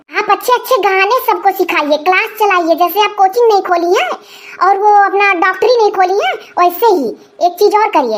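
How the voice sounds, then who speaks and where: A woman does a cartoonish character voice at an extremely high pitch, with ordinary pitch variation. She keeps a moderate pace and very even loudness. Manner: chatty, playfully mocking.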